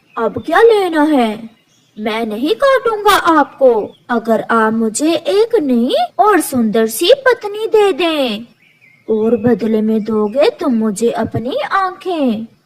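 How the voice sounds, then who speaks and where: This cartoonish character voice moves at a very slow pace in a calm tone, with very wide pitch swings. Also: female-sounding voice, high pitch for a woman. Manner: bargaining, calm.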